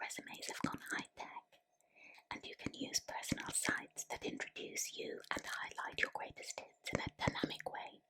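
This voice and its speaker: Whispering in a gentle tone, a woman speaks at a fairly slow pace. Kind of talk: ASMR whispered book reading. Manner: whispered, gentle, soft-spoken.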